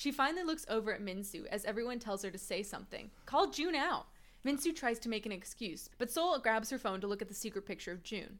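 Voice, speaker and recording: A woman talks very fast in an American accent. Her fairly high voice has lively intonation. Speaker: podcast co-host. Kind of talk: casual recap chat.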